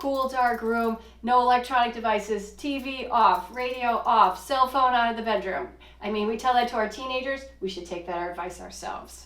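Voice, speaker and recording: A woman speaks with a fairly high pitch and ordinary pitch variation over noticeable background noise. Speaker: physician. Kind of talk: podcast discussion. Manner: fast.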